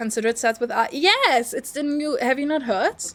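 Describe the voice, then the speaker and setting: A woman speaks with a non-native accent at a fairly quick pace. Music plays in the background. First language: not English. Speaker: streamer. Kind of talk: casual chat.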